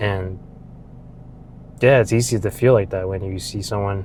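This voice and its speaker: Moderately paced, somewhat breathy speech from a man with a fairly low pitch. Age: 20s. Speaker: vlogger. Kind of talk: casual monologue. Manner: casual, with many fillers.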